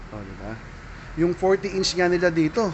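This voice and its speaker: Noticeable background noise sits behind this man's voice. His pitch is fairly high and his pace fairly quick. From Philippines. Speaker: vlogger; shopping vlogger. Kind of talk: shopping vlog walkthrough. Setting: in a surplus store. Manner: animated. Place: shop. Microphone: phone near.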